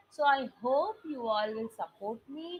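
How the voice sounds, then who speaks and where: Over noticeable background noise, a woman talks very slowly at a fairly high pitch with lively intonation. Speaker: SAT English teacher. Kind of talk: online lecture. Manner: loud.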